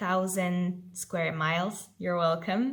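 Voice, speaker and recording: A woman with a Polish accent speaks at a very slow pace in a somewhat breathy voice. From Poland. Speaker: vlogger, exchange volunteer. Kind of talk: casual vlog. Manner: lively.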